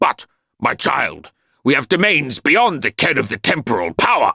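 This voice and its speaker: A man's growling, put-on character voice, fairly high in pitch, at a moderate pace. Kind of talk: audiobook character voice. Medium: read story. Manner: pompous, lofty.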